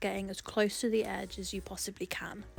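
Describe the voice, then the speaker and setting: This woman speaks in an English accent. Her pitch is medium and her pace moderate. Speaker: portrait artist. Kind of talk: tutorial voice-over.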